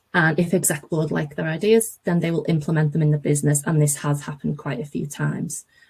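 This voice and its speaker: A woman speaks at a very fast pace with hardly any pauses. Her voice is very deep and low, somewhat breathy, with ordinary pitch variation. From northern England, near Liverpool. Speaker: graduate recruitment manager. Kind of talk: webinar presentation. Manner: enthusiastic.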